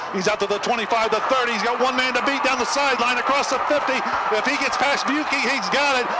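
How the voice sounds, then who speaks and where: A man speaks in an excited tone at an extremely high pitch and a fairly quick pace, his loudness very even over noticeable background noise. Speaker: football play-by-play announcer. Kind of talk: live play-by-play sports commentary over game highlights. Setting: stadium broadcast edited into a highlight video. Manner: fast, breathless, rising in pitch and volume on long returns; excited, shouting repeated 'touchdown!' calls.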